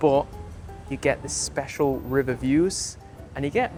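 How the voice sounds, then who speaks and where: A man with an English accent, medium pitch and ordinary pitch variation, against noticeable background noise. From England. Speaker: video host. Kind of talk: vlog presenting.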